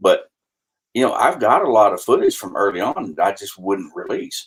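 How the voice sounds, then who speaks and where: A man talks with a strong Texas accent at a moderate pace. His volume rises and falls sharply. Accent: heavy Texas country. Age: 50s. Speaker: reptile breeder. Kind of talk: podcast conversation.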